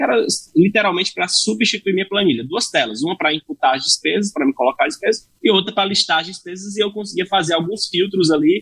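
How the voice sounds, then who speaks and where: Speaking at a very fast pace with hardly any pauses, a man with a high voice uses lively intonation in a dry, close sound with no echo. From Brazil, Fortaleza, Ceará. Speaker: tech startup founder and CEO. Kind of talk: podcast interview.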